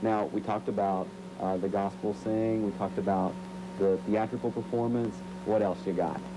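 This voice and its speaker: Amid noticeable background noise and audible room echo, a man speaks at a moderate pace with a fairly low pitch and a monotone, flat intonation. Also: very even loudness. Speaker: TV field reporter. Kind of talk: live TV field report. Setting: live remote shot in hallway of a base club. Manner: loud.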